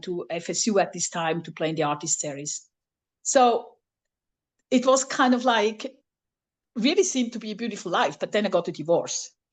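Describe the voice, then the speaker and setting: This voice has lively intonation and a non-native accent, moving at a fairly quick pace. The background is quiet. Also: woman. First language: not English. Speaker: flute professor. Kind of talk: workshop presentation. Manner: halting.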